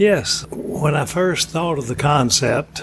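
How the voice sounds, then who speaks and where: A man with an Alabama accent speaks at a fairly slow pace, his pitch varying in an ordinary way. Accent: Southern US (Alabama). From US South, Florence, Alabama. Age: 80s+. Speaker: ice cream shop owner. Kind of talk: casual interview.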